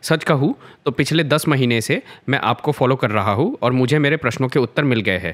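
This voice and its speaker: In an ordinary speaking voice of medium pitch, a man speaks at a moderate pace with ordinary pitch variation and very even loudness on a very clean recording with a silent background. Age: 20s. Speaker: viewer posing a question. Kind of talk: reading a question aloud.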